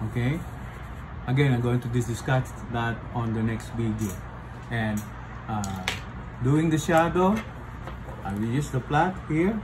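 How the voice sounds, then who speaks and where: At a fairly slow pace, a man with a medium pitch and lively intonation takes long, frequent pauses amid noticeable background noise. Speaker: portrait artist. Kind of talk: art tutorial explanation. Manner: casual, hesitant with fillers.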